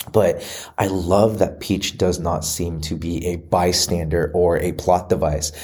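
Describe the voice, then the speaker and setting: In a very deep, low voice with a dark, mellow tone, a man speaks at a fairly slow pace, somewhat breathy and monotone, his intonation flat. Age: 30s. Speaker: movie commentary vlogger. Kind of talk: solo commentary monologue. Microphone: re-recorded after a microphone issue.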